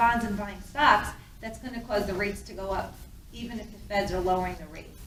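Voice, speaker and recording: Amid noticeable background noise and audible room echo, a woman talks very fast with fairly even intonation. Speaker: mortgage loan officer. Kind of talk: presentation.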